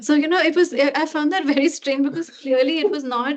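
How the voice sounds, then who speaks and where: This woman, with an Indian accent, talks at a fairly quick pace with ordinary pitch variation. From India, Delhi. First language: Hindi. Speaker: researcher. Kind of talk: academic Q&A discussion.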